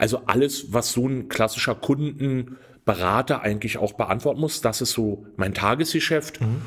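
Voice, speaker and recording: At a moderate pace and a medium pitch, a man talks with a plain, everyday voice and ordinary pitch variation. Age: 50s. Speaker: customer service manager and lottery winner adviser. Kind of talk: interview.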